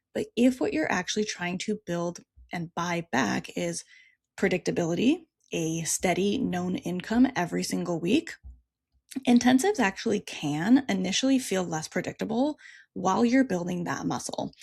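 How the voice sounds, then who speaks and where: The woman's voice has lively intonation and some vocal fry. The sound is dry and close with no echo, on a very clean recording with a silent background. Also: medium pitch for a woman, moderate pace. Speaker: therapist and practice coach, podcast host. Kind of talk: solo podcast monologue.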